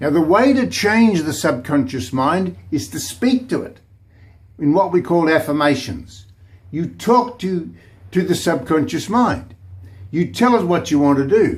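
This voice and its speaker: Vocal fry runs through a man's voice as his fairly high pitch makes very wide swings. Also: fairly slow pace. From New Zealand. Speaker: pastor / motivational speaker. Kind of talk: casual talk to camera, sermon-style monologue. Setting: office.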